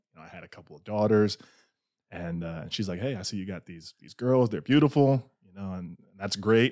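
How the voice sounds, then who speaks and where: Here is an ordinary speaking voice: a man's, fairly low in pitch, with lively intonation at a fairly quick pace. The recording is very clean with a silent background, and the sound is dry and close with no echo. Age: 20s. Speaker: podcast guest. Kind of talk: casual chat. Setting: studio.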